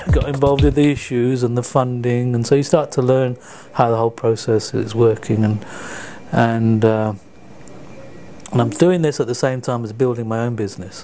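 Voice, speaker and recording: Long, frequent pauses break up speech at a moderate pace with ordinary pitch variation, and noticeable background noise sits underneath. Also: man, medium pitch for a man. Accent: London. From England, London. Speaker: community volunteer. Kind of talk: interview. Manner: halting.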